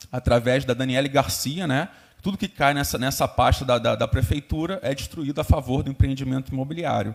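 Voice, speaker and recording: Delivery is fairly quick. The pitch moves up and down in an ordinary way. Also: man, fairly high pitch for a man. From Brazil, Cabo Frio (Rio de Janeiro state). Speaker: environmental activist. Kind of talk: public hearing speech. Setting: public hearing. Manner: fast; hesitant fillers.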